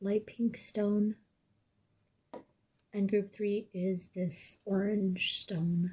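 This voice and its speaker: A woman speaks at a very slow pace in a medium-pitched, dark and mellow voice that is somewhat breathy. Her intonation stays monotone and flat. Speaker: tarot reader. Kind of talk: tarot reading.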